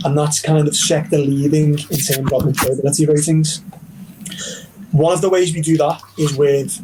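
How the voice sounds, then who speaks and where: A man with a Liverpool accent, fairly high pitch and monotone, flat intonation, with noticeable background noise. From northern England, Liverpool. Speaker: university recruitment representative. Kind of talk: virtual counselling presentation.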